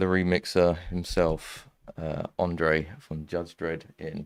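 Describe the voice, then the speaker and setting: Very slow, monotone, flat delivery with an English accent, on a very clean recording with a silent background. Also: man. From East London. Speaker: music producer and streamer. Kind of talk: live stream casual chat. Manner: casual, hesitant with fillers.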